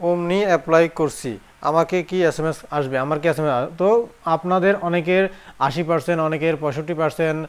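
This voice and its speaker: This man's voice sits fairly high. His intonation is fairly even. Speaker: job advice video host. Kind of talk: Q&A tutorial answering viewer comments. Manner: halting, with frequent pauses.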